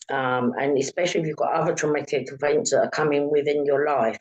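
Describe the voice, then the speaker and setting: Speaking fairly quickly with a London accent, a woman uses a very deep, low pitch with ordinary variation. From London, England. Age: 60s. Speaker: author. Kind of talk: interview. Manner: halting.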